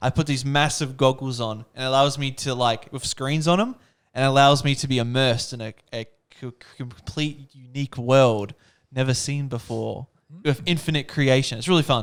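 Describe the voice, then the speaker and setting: With an Australian accent, a man talks in a mid-range pitch. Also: moderate pace. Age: 20s. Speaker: co-host of church talk show. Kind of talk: casual chat. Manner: animated.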